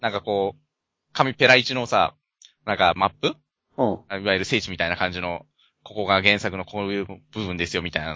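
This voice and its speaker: Big swings in loudness mark a man's fairly low voice as he talks at a fairly quick pace with ordinary pitch variation. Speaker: podcast co-host. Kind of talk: casual chat.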